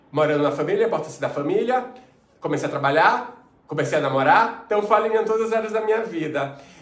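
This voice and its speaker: A man with a high pitch talks at a fairly quick pace with lively intonation. Noticeable background noise and audible room echo surround him. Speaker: entrepreneur and life coach. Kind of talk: personal testimony monologue. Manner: fast; hesitant fillers.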